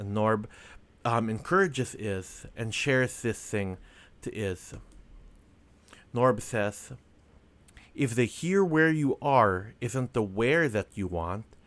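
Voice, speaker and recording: At a very slow pace, a man speaks quietly at medium pitch with ordinary pitch variation. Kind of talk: casual devotional reflection. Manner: quiet, hushed. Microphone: microphone very close up.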